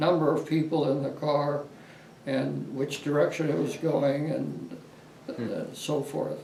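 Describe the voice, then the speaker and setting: A man speaks fairly slowly while noticeable background noise carries on. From Los Angeles, California. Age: 80s+. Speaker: war veteran. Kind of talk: interview answer.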